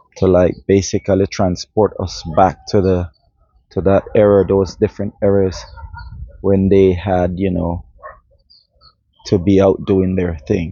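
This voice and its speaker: A man's very deep, low voice, monotone and flat, at a fairly slow pace with long, frequent pauses. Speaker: vlogger. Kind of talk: casual history vlog. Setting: outdoors in nature. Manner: halting, stumbling over words.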